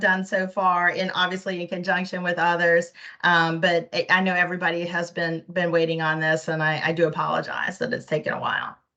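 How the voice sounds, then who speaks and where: A woman speaks at a fairly quick pace with fairly even intonation. Noticeable background noise can be heard. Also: hardly any pauses. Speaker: state privacy officer. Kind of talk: board meeting presentation. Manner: fast; rapid fire.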